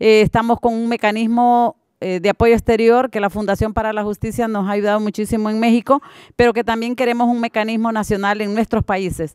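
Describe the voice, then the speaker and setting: Against a quiet background with a dry sound and no echo, a woman speaks at a fairly quick pace in a monotone, flat intonation. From Honduras. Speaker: mother of missing migrant, activist. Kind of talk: panel discussion. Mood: earnest, heartfelt. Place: hall. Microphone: podium.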